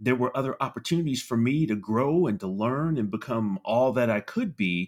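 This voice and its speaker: A plain, everyday voice with an American accent, at a moderate pace with ordinary pitch variation, on a very clean recording with a silent background. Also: man. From California, San Francisco Bay Area. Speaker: army veteran and HR professional. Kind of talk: interview.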